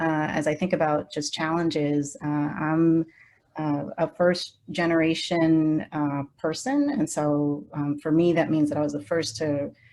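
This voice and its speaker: Speaking in a Spanish accent with a dark, mellow tone, a woman with a very deep, low pitch keeps fairly even intonation against a quiet background. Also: fairly slow pace. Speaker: social work professor. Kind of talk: panel discussion. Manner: halting, many fillers.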